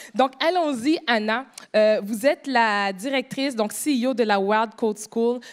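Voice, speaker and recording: In a Quebec accent, a woman talks at a fairly slow pace and fairly high pitch, with ordinary pitch variation and very even loudness, in a very clean recording with a silent background. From Quebec, Montreal. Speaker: panel moderator. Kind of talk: moderated panel discussion. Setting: stage with audience.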